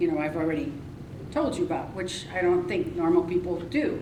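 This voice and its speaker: A woman at a fairly quick pace with ordinary pitch variation, audible room echo and noticeable background noise. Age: 70s. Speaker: weight loss speaker and author. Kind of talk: presentation to a live audience. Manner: casual, hesitant with fillers.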